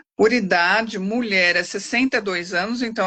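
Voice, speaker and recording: Here is a woman with a normal speaking voice. She speaks at a fairly slow pace with ordinary pitch variation. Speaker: lawyer. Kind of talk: expert Q&A answers. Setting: live stream.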